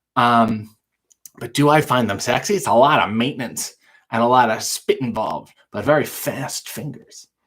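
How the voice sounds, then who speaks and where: This man has an unremarkable speaking voice, with lively intonation and a moderate pace. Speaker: live show host, comedian. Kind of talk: casual live talk to camera, Q&A.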